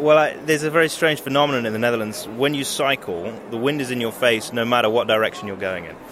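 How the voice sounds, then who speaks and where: A man with a medium pitch talks at a very fast pace with hardly any pauses. His loudness swings greatly, his pitch variation is ordinary, and background noise is noticeable. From southwest England, Devon. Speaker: expat interviewee. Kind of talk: street interview. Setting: at a fair.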